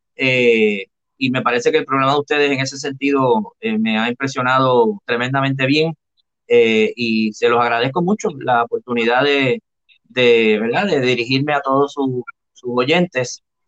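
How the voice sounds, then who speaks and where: At a fairly slow pace, a man speaks in an unremarkable speaking voice of medium pitch with ordinary pitch variation. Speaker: professor, historian and senate candidate. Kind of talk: interview. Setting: video call.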